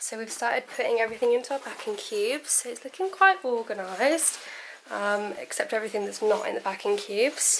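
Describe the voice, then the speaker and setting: A British woman with a high pitch speaks at a fairly quick pace. Her pitch swings very widely over noticeable background noise. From UK. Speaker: nurse vlogger. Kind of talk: casual vlog.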